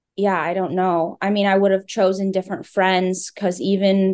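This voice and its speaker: Against a quiet background, a woman talks at a moderate pace. Her intonation is monotone and flat. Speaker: grieving daughter sharing her story. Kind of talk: personal testimony interview. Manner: halting, with fillers.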